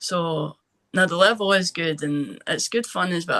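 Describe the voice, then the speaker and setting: Her bright, sharp tone sits at a medium pitch as a woman speaks with ordinary pitch variation in a dry, close sound with no echo. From Scotland, East Lothian. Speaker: former college soccer player. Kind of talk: interview.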